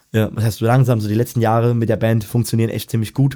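Speaking at a very fast pace, a man has a medium pitch, a dark, mellow tone and flat monotone intonation. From Germany, Odenwald (southern Hesse). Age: 20s. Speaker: professional musician and music teacher. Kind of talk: casual chat.

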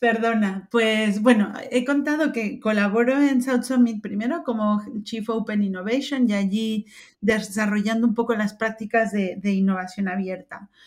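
Somewhat breathy and fairly high in pitch, a woman speaks at a fairly slow pace with fairly even intonation. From Mexico. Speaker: open innovation expert. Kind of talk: interview.

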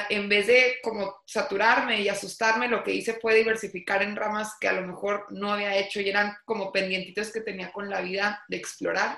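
Her tone is bright and sharp, at a medium pitch for a woman. She keeps a monotone, flat intonation and a moderate pace. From Mexico, Torreón. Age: 30s. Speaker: entrepreneur. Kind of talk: interview.

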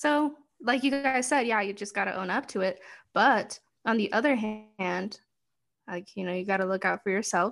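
A woman talks at a fairly quick pace with a fairly high pitch and ordinary pitch variation. It is an unremarkable speaking voice over a quiet background. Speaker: guest co-advisor. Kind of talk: casual chat. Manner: playful, joking.

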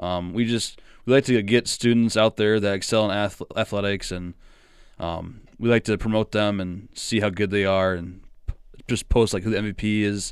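A man in a Midwestern US accent, fairly low-pitched and monotone with flat intonation, at a moderate pace, on a very clean recording with a silent background. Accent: US Midwest. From small-town Iowa, US Midwest. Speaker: college student and sports announcer. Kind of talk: casual interview.

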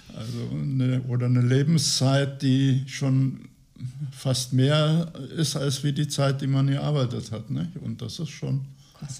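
A man speaks at a very slow pace with a medium pitch and a dark, mellow tone. His voice is somewhat breathy, and the intonation stays fairly even. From Lower Saxony, Gifhorn. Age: 80s+. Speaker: retiree. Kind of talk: interview.

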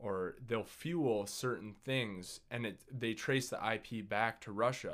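This man has a normal speaking voice at a medium pitch, with ordinary pitch variation and a moderate pace. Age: 20s. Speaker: podcast guest. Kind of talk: casual chat.

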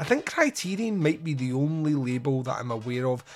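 Moving at a moderate pace, a man with a Scottish accent speaks at a fairly high pitch with ordinary variation. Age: 40s. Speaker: podcast host. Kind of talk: casual monologue.

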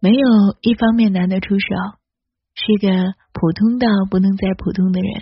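Somewhat breathy, a woman's medium-pitched voice moves at a moderate pace. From mainland China. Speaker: podcast host. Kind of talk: solo podcast monologue.

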